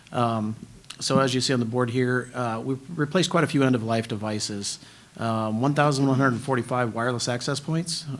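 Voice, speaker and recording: The speaker moves at a fairly quick pace with ordinary pitch variation, against noticeable background noise. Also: man. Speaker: school district technology staff. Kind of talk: board meeting presentation. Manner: fast.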